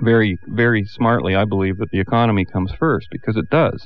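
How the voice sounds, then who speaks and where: A man's ordinary speaking voice, fairly low in pitch, at a fairly quick pace with fairly even intonation. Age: 50s. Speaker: political commentator. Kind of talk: radio panel debate.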